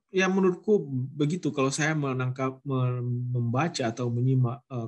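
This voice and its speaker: In a North Sumatran accent, a man speaks at a moderate pace and medium pitch. His voice is somewhat breathy, with ordinary pitch variation. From North Sumatra, Mandailing Natal. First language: Mandailing (speaking Indonesian). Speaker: guest lecturer, researcher. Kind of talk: lecture Q&A. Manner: halting, with fillers and restarts.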